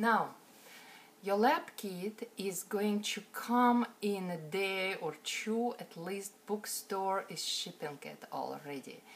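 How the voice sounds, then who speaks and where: This woman has a non-native accent and a medium pitch with ordinary variation. She talks at a very slow pace against light background noise. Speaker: botany instructor. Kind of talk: online class introduction lecture. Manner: casual, hesitant. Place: home room. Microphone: phone near.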